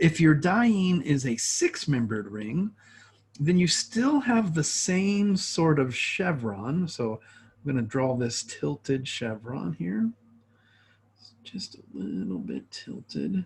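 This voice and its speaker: Somewhat breathy, a man speaks at a very slow pace in a fairly high pitch, his pitch swinging very widely. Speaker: chemistry professor. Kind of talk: lecture.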